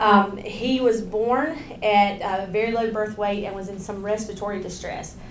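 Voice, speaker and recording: Audible room echo and noticeable background noise surround a woman's voice. She speaks at a moderate pace and a medium pitch. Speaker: parent advocate. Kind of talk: presentation. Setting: hospital grand rounds podium with mic. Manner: loud.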